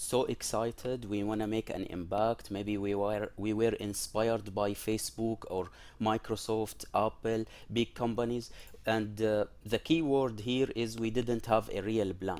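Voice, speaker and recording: Here is an ordinary speaking voice: a man at a fairly low pitch, with fairly even intonation and a fairly slow pace. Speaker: presenter. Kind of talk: lecture. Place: home room. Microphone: headset.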